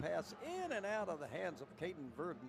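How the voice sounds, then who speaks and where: A man with an American accent at a moderate pace, music in the background. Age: 70s. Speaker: play-by-play announcer. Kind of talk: live commentary.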